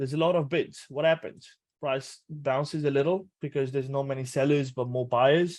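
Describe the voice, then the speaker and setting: In a Punjabi accent, a man with a fairly high pitch talks with fairly even intonation against a quiet background. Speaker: trading educator. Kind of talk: tutorial. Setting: webinar. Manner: casual.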